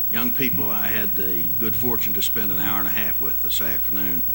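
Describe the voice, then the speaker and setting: This man speaks with an American accent. Room echo is audible. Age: 70s. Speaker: historian and museum director. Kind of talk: public lecture.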